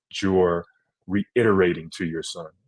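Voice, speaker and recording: Here is a man's voice. His pitch is very deep and low. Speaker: podcast co-host, former college basketball player. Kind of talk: casual chat.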